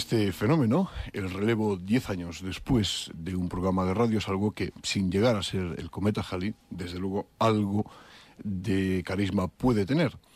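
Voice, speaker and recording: At a moderate pace, a man speaks in a fairly low pitch with ordinary pitch variation and an unremarkable speaking voice. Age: 30s. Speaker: radio host. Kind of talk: radio interview.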